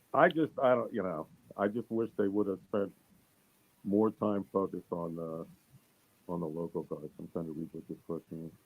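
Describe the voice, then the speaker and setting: A man's very deep, low voice with a Philadelphia accent, long, frequent pauses, and a dry, close sound with no echo. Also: ordinary pitch variation, moderate pace. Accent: Philadelphia-area American. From US Northeast, Bucks County, Pennsylvania. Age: 60s. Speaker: former wrestling announcer. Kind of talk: casual interview chat.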